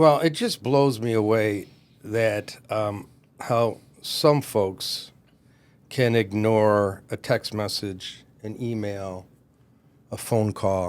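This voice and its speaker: Very slow male speech, fairly low in pitch, with ordinary pitch variation and long, frequent pauses. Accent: Michigan. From Michigan, US Midwest. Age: 60s. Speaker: commercial real estate broker. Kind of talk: podcast interview.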